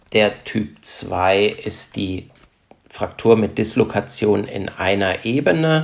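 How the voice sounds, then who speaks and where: Very slow speech comes from a man. Lively intonation marks his delivery. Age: 40s. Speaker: trauma surgeon. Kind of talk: expert interview. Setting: remote recording over the internet.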